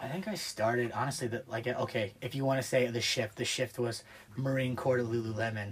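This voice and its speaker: A man with an American accent talks at a fairly quick pace over noticeable background noise. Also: medium pitch for a man. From US Midwest, small-town Ohio. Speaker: Marine Corps veteran. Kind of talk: casual chat.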